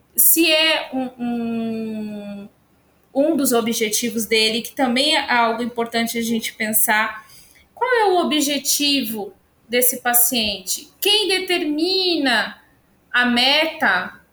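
The woman's words come out very slowly, pitched high. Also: lively intonation. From São Paulo city, Brazil. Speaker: nutrition professor. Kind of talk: casual chat.

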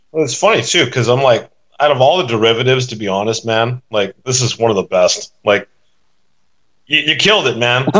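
Ordinary pitch variation from a man talking at a fairly quick pace. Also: medium pitch for a man. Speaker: digital artist. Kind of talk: casual chat. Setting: online audio chat room. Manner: animated and profane.

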